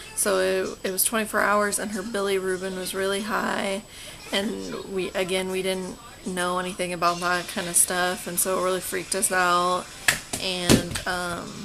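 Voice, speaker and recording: Speaking with an American accent, a woman keeps her medium-pitched voice in a monotone, flat intonation. Noticeable background noise runs underneath. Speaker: mother of a baby born with cleft palate. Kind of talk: casual talk to camera.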